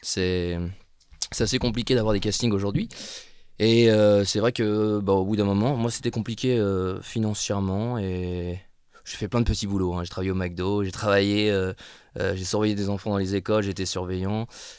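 A man's fairly low voice at a moderate pace, fairly even in intonation, with long, frequent pauses and a very clean recording over a silent background. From northern France, Lille. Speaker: actor. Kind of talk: casual chat.

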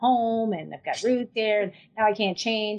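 The speaker is a woman at a moderate pace. Her intonation stays fairly even. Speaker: First Nation chief and lawyer. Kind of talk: interview conversation. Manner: hesitant, many fillers.

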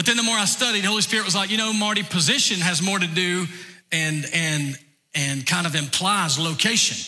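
A man with a Southern US accent speaks at a fairly quick pace. His pitch is high, with ordinary variation. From US South, north Georgia. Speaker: pastor. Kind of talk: sermon. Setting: church.

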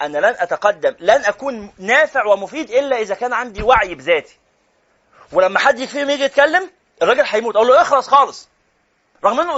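Animated, fairly quick delivery in an Egyptian accent, with very wide pitch swings. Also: man. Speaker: Quran teacher. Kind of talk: lecture.

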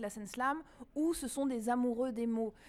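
Using an ordinary speaking voice, a woman talks at a fairly slow pace and a fairly high pitch. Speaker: slam poet and event organizer. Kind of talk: casual interview.

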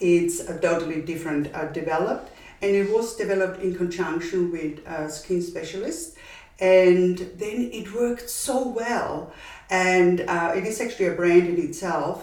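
A woman at a moderate pace, with ordinary pitch variation and noticeable background noise. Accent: Austrian. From Austria. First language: German. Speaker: brand founder. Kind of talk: casual interview.

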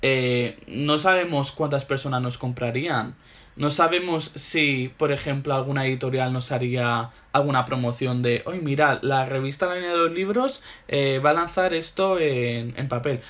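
The delivery is animated and fairly slow. Pitch varies in an ordinary way. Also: man, fairly high pitch for a man. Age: 20s. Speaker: literary magazine founder. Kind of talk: casual interview.

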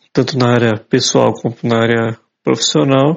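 Medium pitch and fairly even intonation from a male speaker. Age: 40s. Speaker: journalist and photographer with low vision. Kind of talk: interview. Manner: halting, many fillers.

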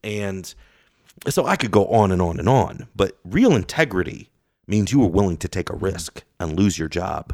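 A man with an American accent and an unremarkable speaking voice, fairly low in pitch, with ordinary pitch variation, a moderate pace and a very clean recording against a silent background. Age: 40s. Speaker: political commentator. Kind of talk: casual chat.

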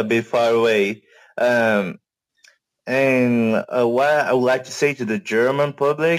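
Ordinary pitch variation from a male speaker at a very slow pace. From Brazil. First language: Portuguese (speaking German). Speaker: guest on live audio show. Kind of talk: casual chat.

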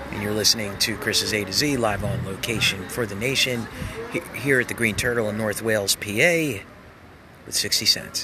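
Background noise is noticeable as a man talks at a moderate pace. His pitch is fairly low, with ordinary variation. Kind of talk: radio DJ patter, live-on-location broadcast intros and outros.

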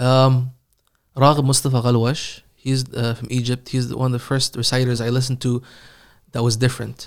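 A man's medium-pitched voice in an Iranian accent, with monotone, flat intonation. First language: Farsi. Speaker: Quran reciter. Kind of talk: casual interview.

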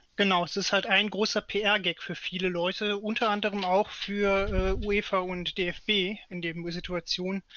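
A man speaks at a high pitch and a fairly slow pace in a monotone, flat intonation. He leaves hardly any pauses. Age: 30s. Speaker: local party politician and podcast co-host. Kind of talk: casual political chat.

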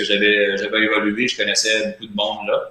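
A man speaks with a Quebec accent. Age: 30s. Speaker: player agent, former hockey goalie. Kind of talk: interview.

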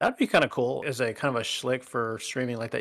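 A man talks very fast at medium pitch with vocal fry. The recording is very clean, with a silent background. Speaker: gaming podcast co-host. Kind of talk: casual banter podcast. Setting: live stream. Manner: joking, playful.

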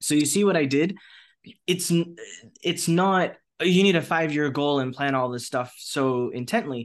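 Over a quiet background, a man with an American accent and a plain, everyday voice speaks at a moderate pace, fairly high in pitch with ordinary pitch variation. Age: 30s. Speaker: entrepreneur. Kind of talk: interview.

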